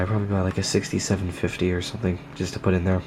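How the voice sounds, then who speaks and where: The voice is quiet and monotone, with flat intonation, moving at a very fast pace over noticeable background noise. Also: man. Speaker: tech hobbyist vlogger. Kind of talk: casual vlog. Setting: at home at night. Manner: speaking low, quiet; hesitant, many fillers.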